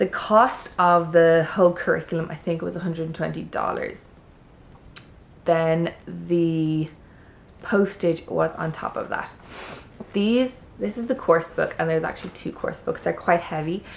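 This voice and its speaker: A woman speaks in an Irish accent. She leaves long, frequent pauses. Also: moderate pace. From Ireland. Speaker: homeschooling parent, vlogger. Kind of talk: product review. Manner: chatty.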